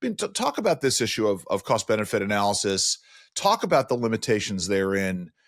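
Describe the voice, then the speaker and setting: In a New York accent, a man talks at a very fast pace with a fairly low pitch, dry and close with no echo, in a very clean recording with a silent background. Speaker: podcast host. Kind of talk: interview.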